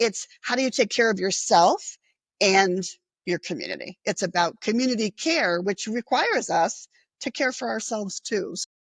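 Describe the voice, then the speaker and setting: A woman with a normal speaking voice talks at a moderate pace, with a medium pitch and ordinary pitch variation. The sound is dry and close with no echo, a very clean recording with a silent background. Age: 60s. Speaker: nonprofit executive director and social worker. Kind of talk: interview. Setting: podcast interview.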